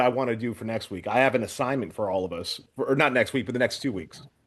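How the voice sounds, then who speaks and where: An ordinary speaking voice with an American accent and lively intonation, against a quiet background. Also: man. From United States. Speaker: retired strongman and podcast host. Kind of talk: casual chat.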